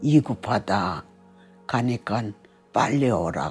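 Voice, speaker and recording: Over music in the background, the speaker talks at a very slow pace with a North Korean accent and very wide pitch swings. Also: woman. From Pyongyang, North Korea. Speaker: North Korean defector. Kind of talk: interview answer.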